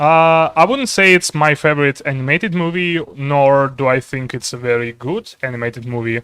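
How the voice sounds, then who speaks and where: Speaking with a non-native accent, a man keeps a moderate pace with hardly any pauses, using a bright, sharp tone and ordinary pitch variation, with a dry, close sound and no echo. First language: not English. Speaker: streamer and artist. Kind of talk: casual chat. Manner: halting, many fillers.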